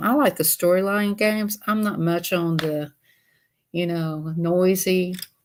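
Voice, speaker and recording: In a very clean recording with a silent background, a woman with a Southern US accent talks at a fairly slow pace, her fairly low pitch showing ordinary variation. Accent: Southern US (Georgia). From US South, Georgia. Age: 60s. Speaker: YouTuber doing a craft livestream. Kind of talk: casual livestream chat. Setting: sit-down livestream.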